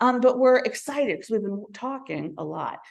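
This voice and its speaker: Behind the female speaker, the background stays quiet. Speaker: library system representative. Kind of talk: presentation. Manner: fast.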